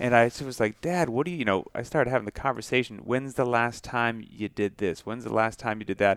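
An unremarkable speaking voice at a fairly quick pace, with ordinary pitch variation, hardly any pauses, and a very clean recording over a silent background. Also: man, medium pitch for a man. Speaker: podcast co-host. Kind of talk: casual interview.

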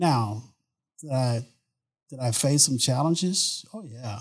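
A man with an American accent speaks very slowly at a medium pitch, with ordinary pitch variation and long, frequent pauses. His voice is somewhat breathy and shows big swings in loudness. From Southeast Texas (Beaumont). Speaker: oil and gas executive. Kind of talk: interview answers.

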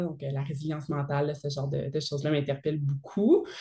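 A woman's very deep, low voice at a moderate pace. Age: 30s. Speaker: army officer and fitness entrepreneur. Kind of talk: casual interview.

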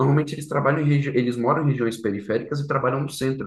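A somewhat breathy man at a very fast pace, with fairly even intonation and audible room echo. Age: 20s. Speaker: startup founder. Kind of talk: interview.

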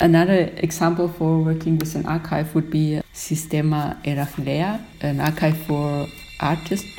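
A woman speaks at a moderate pace in a very deep, low pitch. Noticeable background noise runs behind her. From Austria, Upper Austria. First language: German. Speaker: graphic designer. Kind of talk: casual chat. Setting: video call.

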